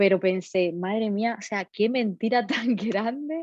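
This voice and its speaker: The speaker is a woman. She keeps a fairly even intonation. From Cuba. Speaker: data protection lawyer and entrepreneur. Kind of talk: interview. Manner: halting.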